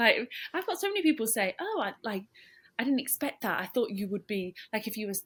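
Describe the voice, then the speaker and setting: In a very clean recording over a silent background, a voice with a British accent moves at a fairly quick pace through very wide pitch swings. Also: woman, fairly high pitch for a woman. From England. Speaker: professional footballer. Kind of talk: interview. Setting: at home in her room.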